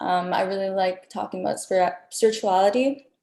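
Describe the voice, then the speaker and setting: A woman with an American accent, a dark, mellow tone and a moderate pace. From East Los Angeles, California. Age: 20s. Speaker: podcast guest. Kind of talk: casual chat.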